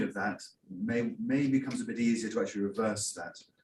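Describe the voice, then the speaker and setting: A man rattles off his words at a very fast pace, with audible room echo around him. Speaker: academic audience questioner. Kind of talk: conference Q&A question. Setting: conference hall, hybrid event. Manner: too quiet at first.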